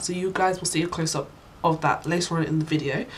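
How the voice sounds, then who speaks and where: A woman speaks with a British accent at a fairly quick pace. Her pitch is fairly low and her intonation monotone and flat. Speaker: beauty vlogger. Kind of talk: product review. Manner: casual, many fillers.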